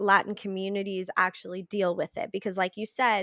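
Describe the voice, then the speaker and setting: On a very clean recording with a silent background, a woman's bright, sharp voice sits at a medium pitch, the sound dry and close with no echo. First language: Spanish. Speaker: podcast guest. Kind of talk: podcast interview conversation.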